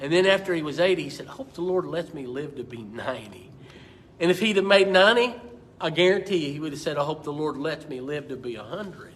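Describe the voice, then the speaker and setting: Speaking very fast with an American accent, a man uses a fairly high pitch. His loudness swings widely, and room echo is audible. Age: 60s. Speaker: pastor. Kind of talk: Bible study teaching. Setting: church. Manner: repetitive, stammering restarts.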